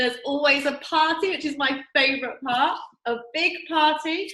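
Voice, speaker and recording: A woman with an English accent raises and projects her voice with an enthusiastic tone. Her sound is bright and sharp, with lively intonation. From England. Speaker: network marketing distributor. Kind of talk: promotional video talk.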